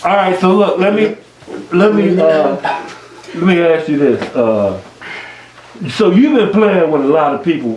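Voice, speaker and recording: A man with an American accent and a high pitch speaks at a fairly slow pace with very wide pitch swings and long, frequent pauses, amid audible room echo and noticeable background noise. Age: 60s. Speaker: music show host interviewing bass players. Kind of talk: casual interview. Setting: basement jam session with group.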